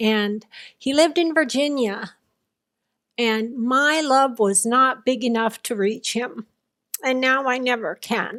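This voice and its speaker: In a very clean recording with a silent background, a woman with an unremarkable speaking voice talks at a fairly slow pace. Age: 60s. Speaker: near-death experiencer. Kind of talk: interview testimony.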